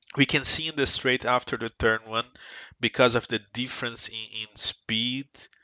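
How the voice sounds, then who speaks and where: A man at a fairly slow pace, in a Brazilian Portuguese accent, with fairly even intonation. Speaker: sim racing team member. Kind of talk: tutorial. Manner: halting.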